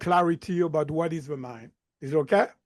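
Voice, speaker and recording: A man speaks with a slight French accent. The background is quiet. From southern France. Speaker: mindset coach. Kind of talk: interview.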